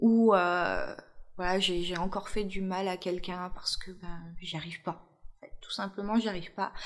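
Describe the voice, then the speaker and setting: Here a woman is speaking. Her pitch is medium. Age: 30s. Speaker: mother sharing her family story. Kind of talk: personal testimony interview.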